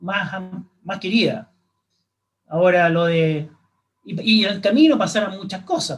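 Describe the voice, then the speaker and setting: A man with a high voice speaks very slowly, with ordinary pitch variation. Long pauses come often. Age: 60s. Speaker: astronomer. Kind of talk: interview. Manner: halting.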